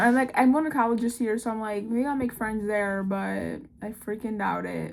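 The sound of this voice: A woman speaks at a moderate pace with vocal fry. Her pitch sits in the medium range and moves with ordinary variation.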